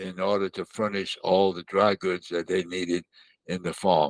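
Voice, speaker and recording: A man with an American accent speaks at a fairly slow pace in a very deep, low pitch. The sound is dry and close, with no echo. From Mississippi, US South. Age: 100s; 80s+. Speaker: war veteran and children's author. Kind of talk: interview. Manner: halting.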